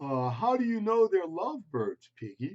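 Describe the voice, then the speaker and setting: Pitch swings very widely in a put-on character voice delivered at a moderate pace. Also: man. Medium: read story. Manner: bright, cheerful.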